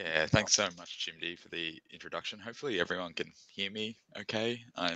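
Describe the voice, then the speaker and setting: At a fairly quick pace, a man with a fairly low pitch and a bright, sharp tone shows ordinary pitch variation and big swings in loudness, in a dry sound with no echo against a quiet background. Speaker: tech presenter; presenter. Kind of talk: webinar presentation. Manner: soft-spoken; halting. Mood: friendly, slightly rushed. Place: home room. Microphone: video call.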